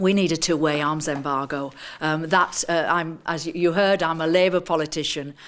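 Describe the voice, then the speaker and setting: A woman in a northern English accent speaks at a moderate pace, her fairly low voice monotone and flat. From northern England. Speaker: activist and politician. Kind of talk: seminar talk. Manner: halting, many fillers.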